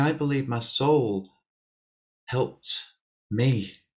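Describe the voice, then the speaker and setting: Soft-spoken, a man at a medium pitch talks in a Lancashire accent. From Bury, Lancashire, England. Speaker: spiritualist medium. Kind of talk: interview answer.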